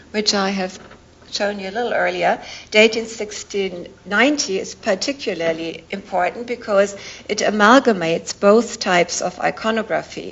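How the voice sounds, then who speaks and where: Noticeable background noise sits behind a woman speaking at a moderate pace. Her pitch is medium, with ordinary variation. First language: not English. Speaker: art historian professor. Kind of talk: academic lecture. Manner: formal.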